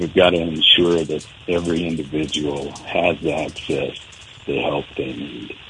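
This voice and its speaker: Over noticeable background noise, a man with an American accent speaks at a fairly slow pace in a very deep, low pitch with fairly even intonation. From eastern Montana. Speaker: country singer and mental health advocate. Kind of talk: radio interview.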